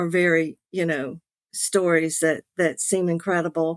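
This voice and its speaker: The speaker uses a Southern US accent and a monotone, flat intonation, with a dry, close sound with no echo. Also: woman. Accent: Southern US, noticeable. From US South, Beaufort, South Carolina. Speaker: author, late-discovery adoptee. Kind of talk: personal testimony.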